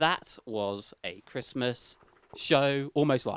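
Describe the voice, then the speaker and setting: Speaking with a British accent, a man has a medium-pitched voice. His pitch moves with ordinary variation. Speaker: podcast host. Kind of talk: casual banter, comedy chat.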